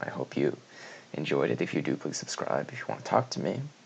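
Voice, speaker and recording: This man is soft-spoken. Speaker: esports commentator. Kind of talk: video essay monologue. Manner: halting.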